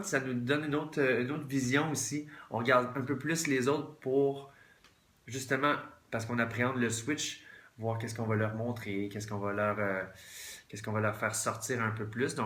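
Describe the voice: At a fairly quick pace broken by long, frequent pauses, a man speaks at medium pitch with ordinary pitch variation.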